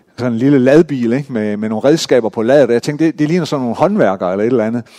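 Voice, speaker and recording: A man at a very fast pace with lively intonation, in a dry, close sound with no echo. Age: 50s. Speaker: pastor. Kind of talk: sermon. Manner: halting.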